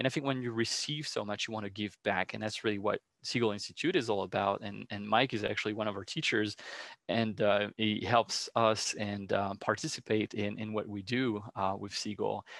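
Against a quiet background, a man with a French accent speaks in a fairly low pitch with fairly even intonation. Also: moderate pace. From France. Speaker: educational program director. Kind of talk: interview. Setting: video call.

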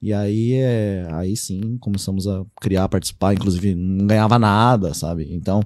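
A man with a normal speaking voice talks at a moderate pace and a fairly low pitch, with fairly even intonation and hardly any pauses. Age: 30s. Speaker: pen spinning enthusiast and agronomist. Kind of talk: casual chat. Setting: studio.

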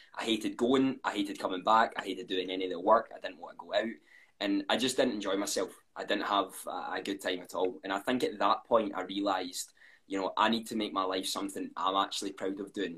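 Someone with a Scottish accent talks at a fairly quick pace. The tone is bright and sharp, with ordinary pitch variation. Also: man, fairly low pitch for a man. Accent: Scottish, often commented on. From Scotland. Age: 20s. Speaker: content creator. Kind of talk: casual interview. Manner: fast.

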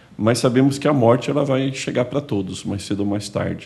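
Using ordinary pitch variation, a man speaks at a moderate pace with a dark, mellow tone. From Santos, São Paulo coast, Brazil. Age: 50s. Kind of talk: podcast conversation.

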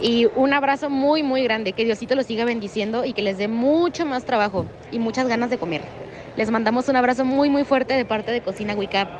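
Fairly high pitch from a woman at a fairly quick pace, with ordinary pitch variation and noticeable background noise. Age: young. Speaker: radio food show host. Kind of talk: casual chat. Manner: animated.

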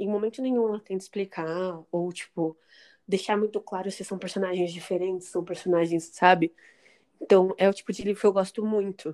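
The recording is very clean, with a silent background and a dry, close sound that has no echo. A woman talks at a fairly quick pace in a medium pitch, her dark, mellow tone following fairly even intonation. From Brazil, São Paulo area (São Bernardo do Campo). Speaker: podcast co-host. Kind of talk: casual chat.

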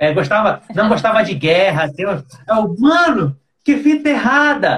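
The man talks at a fairly slow pace. Very wide pitch swings mark his voice. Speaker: podcast host. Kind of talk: casual chat.

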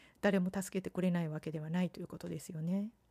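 The voice is somewhat breathy with a dark, mellow tone and fairly even intonation, in a dry, close sound with no echo. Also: woman. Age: 50s. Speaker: podcast host. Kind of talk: solo podcast monologue. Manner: polite, formal.

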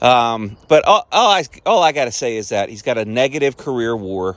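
Fairly slow, lively speech from a man at medium pitch. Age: 50s. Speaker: sports podcast host. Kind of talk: casual monologue. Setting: outdoors on a back deck. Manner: laid-back, with many fillers.

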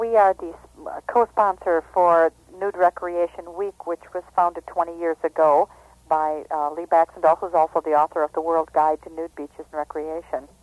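The speaker talks at a moderate pace with a Wisconsin accent. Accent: Upper Midwest (Wisconsin). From Wisconsin, near Oshkosh. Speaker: nudist organization representative. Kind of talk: radio interview.

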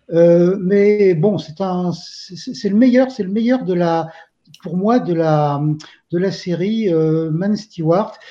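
A man's high-pitched voice, dark and mellow in tone, at a very slow pace with ordinary pitch variation. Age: 60s. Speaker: film enthusiast, forum member. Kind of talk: casual panel discussion. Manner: halting, many repetitions.

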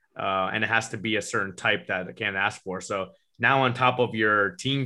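A man speaks with a fairly low pitch and fairly even intonation in a plain, everyday voice. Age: 30s. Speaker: powerlifting commentator. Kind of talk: casual chat.

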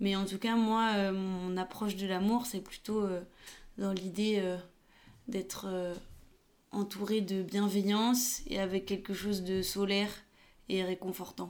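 A woman's very slow, monotone speech, broken by long and frequent pauses. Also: medium pitch for a woman. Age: 20s. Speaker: photographer and videographer. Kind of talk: casual chat.

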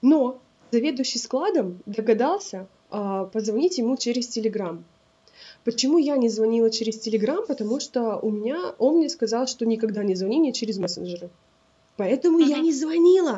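A woman talks at a moderate pace with lively intonation and a fairly high pitch. She has a plain, everyday voice. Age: 20s. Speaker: podcast co-host. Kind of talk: casual chat.

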